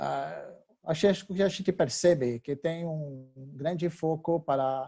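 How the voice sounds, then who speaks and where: With a French accent, a man speaks in a dark, mellow tone. His pitch varies in an ordinary way. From France. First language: French (speaking Portuguese). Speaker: technology company representative. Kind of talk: webinar presentation. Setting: webinar. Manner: halting, many fillers.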